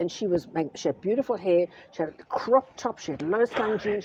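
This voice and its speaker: The tone is animated and the intonation lively, at a fairly quick pace. Noticeable background noise sits behind the voice. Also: woman. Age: 70s. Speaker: businesswoman. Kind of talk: interview. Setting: retail store. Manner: animated storytelling.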